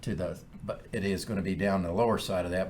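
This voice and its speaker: A man talks at a very fast pace, his pitch very deep and low and his voice somewhat breathy. Room echo is audible. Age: 60s. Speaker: podcast co-host, title company president. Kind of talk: casual chat.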